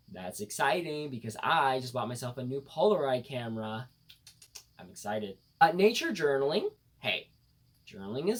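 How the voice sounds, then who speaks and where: A man speaks at a medium pitch with an upbeat tone and a somewhat breathy quality. His pitch swings very widely. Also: big swings in loudness. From United States. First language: bilingual English and Khmer. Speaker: vlogger. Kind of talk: casual talk to camera.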